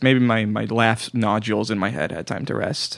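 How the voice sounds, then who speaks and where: Male speech at medium pitch. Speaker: comedy podcast host. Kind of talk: casual comedic chat. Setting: studio. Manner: mumbling.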